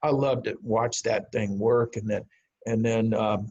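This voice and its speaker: A man's somewhat breathy, medium-pitched voice, fairly slow and monotone with flat intonation. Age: 70s. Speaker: amateur radio organization board candidate. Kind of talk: talk to a club over video call. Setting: video call. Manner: halting, with many fillers and repetitions.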